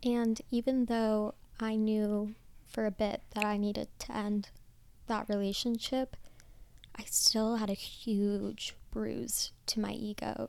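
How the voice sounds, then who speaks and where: Someone with an American accent speaks very slowly in a flat, monotone delivery. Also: woman, fairly high pitch for a woman. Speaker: podcast host. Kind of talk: solo reflective monologue. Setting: home bedroom.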